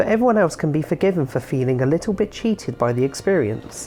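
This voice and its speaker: Over noticeable background noise, a woman talks at a very fast pace, her pitch swinging very widely. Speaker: game reviewer. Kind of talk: scripted game review narration.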